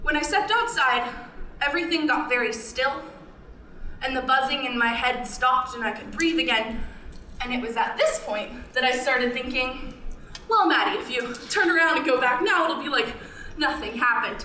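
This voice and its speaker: A woman speaks in a raised, projected voice with ordinary pitch variation and long, frequent pauses, with audible room echo and light background noise. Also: moderate pace. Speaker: storyteller performer. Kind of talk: personal narrative performance. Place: stage.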